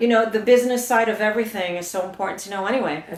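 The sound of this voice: A woman talks at a very fast pace in a medium pitch with ordinary pitch variation. Room echo is audible.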